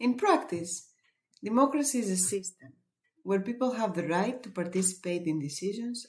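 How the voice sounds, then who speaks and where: In a Greek accent, a woman speaks at a moderate pace with a medium pitch, a somewhat breathy quality and lively intonation. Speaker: webinar presenter. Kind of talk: webinar presentation.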